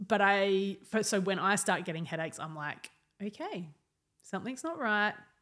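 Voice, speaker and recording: With an Australian accent, a woman speaks at a medium pitch and a moderate pace. Her intonation is lively. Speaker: counsellor and speaker. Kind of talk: podcast interview.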